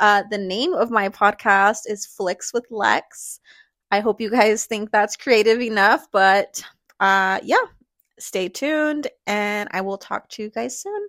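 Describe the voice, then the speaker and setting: A woman speaks at a very slow pace with ordinary pitch variation. The recording is very clean, and the background is silent. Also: fairly high pitch for a woman. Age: 30s. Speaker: podcast host and lash artist. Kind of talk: casual monologue.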